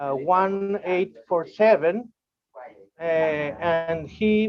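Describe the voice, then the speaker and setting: Speaking at a very slow pace, a man with a high pitch and ordinary pitch variation talks in a Uruguayan accent. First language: Spanish. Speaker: amateur radio operator. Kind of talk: online meeting presentation. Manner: halting, many fillers.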